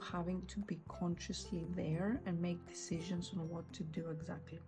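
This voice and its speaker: Over background music, a woman's words come fairly slowly. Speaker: journaling content creator. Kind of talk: casual talk to camera.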